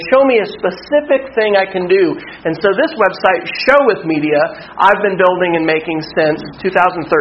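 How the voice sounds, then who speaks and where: At a high pitch and moderate pace, a man with an American accent talks with lively intonation and hardly any pauses over noticeable background noise. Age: 40s. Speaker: workshop presenter, school technology director. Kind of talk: conference workshop talk. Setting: workshop room with live audience.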